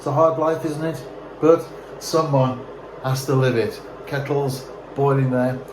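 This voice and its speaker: A man's monotone, flat delivery at a fairly slow pace, with long, frequent pauses, audible room echo and noticeable background noise. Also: fairly high pitch for a man. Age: 60s. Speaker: vlogger. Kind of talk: casual vlog monologue. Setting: outdoors.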